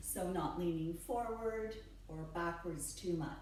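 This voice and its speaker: A woman's fairly low voice at a very slow pace, with ordinary pitch variation, audible room echo and noticeable background noise. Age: 50s. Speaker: personal trainer. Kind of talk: tutorial. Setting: at home.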